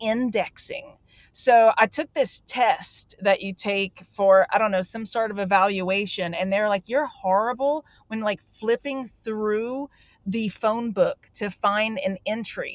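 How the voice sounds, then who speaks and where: Here a woman speaks with a Louisiana accent at a fairly high pitch. Her intonation is fairly even, and the sound is dry and close with no echo. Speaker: database professional, tool creator. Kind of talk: casual interview chat. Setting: in a car.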